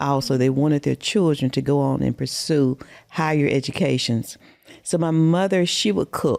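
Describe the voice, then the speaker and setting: A very clean recording with a silent background captures a dark, mellow tone in a Southern US accent, delivered at a moderate pace with ordinary pitch variation. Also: woman. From US South, Mississippi. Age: 60s. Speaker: podcast guest. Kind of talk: casual interview.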